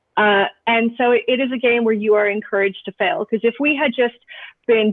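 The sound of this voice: A woman talks at a fairly quick pace with fairly high pitch. The sound is dry and close, with no echo.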